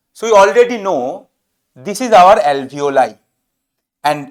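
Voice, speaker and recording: Speaking at a fairly slow pace in a Bengali accent, a man lets his pitch swing very widely. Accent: Bengali-Indian English. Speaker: medical teacher. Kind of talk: lecture. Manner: halting.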